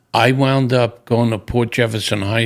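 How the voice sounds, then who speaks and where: In a Long Island accent, a man speaks at a moderate pace with monotone, flat intonation on a very clean recording with a silent background. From Long Island, New York. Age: 80s+. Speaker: Vietnam War veteran. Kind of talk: interview. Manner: halting.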